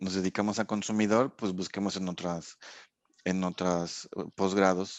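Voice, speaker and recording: A man with a fairly low pitch has an ordinary speaking voice. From Mexico. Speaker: sensory and consumer research scientist. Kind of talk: casual interview chat.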